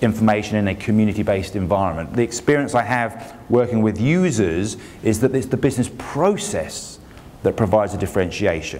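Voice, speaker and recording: A man in a British accent speaks at a moderate pace with a fairly low pitch and lively intonation, with room echo audible. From England. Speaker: industry analyst. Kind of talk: conference keynote. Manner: casual and joking.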